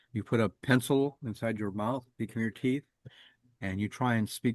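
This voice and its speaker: A man mumbles at a moderate pace and medium pitch, with ordinary pitch variation. The sound is dry and close, with no echo. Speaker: backgammon study group leader. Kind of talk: casual chat. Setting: video call. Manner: mumbling; halting.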